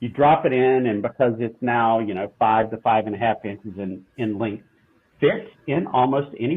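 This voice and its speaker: This man talks at a medium pitch with a Southern US accent. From southeastern US. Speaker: food company CEO. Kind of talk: interview answer.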